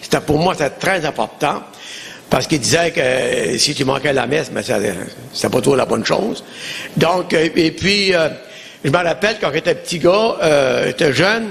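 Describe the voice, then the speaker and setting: Noticeable background noise behind a man with an Acadian accent, fairly high pitch, lively intonation, and long, frequent pauses. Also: moderate pace. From Acadia, New Brunswick. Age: 70s. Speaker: pastor. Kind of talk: testimony.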